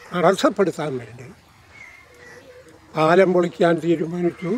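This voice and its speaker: The sound is dry, with no echo. A man speaks at a high pitch. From Kerala, India. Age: 80s+. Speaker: freedom fighter, war veteran. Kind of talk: interview answer. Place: garden.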